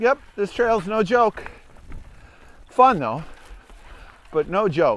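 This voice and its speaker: The speech comes at a very slow pace with very wide swings in pitch. Noticeable background noise runs underneath. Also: man. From Upper Peninsula of Michigan. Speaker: mountain bike trail reviewer. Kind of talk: ride-along commentary. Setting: outdoors, riding a mountain bike. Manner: casual, conversational.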